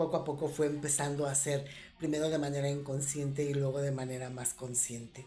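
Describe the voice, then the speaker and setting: Audible room echo surrounds a woman whose very deep, low, somewhat breathy voice moves at a fairly quick pace in a monotone, flat intonation. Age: 60s. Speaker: spiritual reflection vlogger. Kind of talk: reflective monologue. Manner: hesitant, with fillers.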